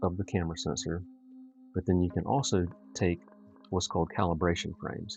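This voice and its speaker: Music plays behind a soft-spoken man. His voice is very deep and low, and he talks at a fairly quick pace. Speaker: astrophotographer livestreamer. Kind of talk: live tutorial stream. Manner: halting with many fillers.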